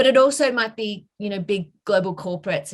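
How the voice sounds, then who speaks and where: A woman's somewhat breathy voice with an Australian accent, medium in pitch, at a fairly quick pace with ordinary pitch variation. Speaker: bank director. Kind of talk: career talk. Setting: video call. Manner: hesitant, many fillers.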